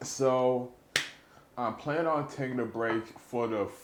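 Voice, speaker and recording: Audible room echo accompanies a man speaking with fairly even intonation. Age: 20s. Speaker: podcast host. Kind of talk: casual chat. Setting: studio. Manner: halting.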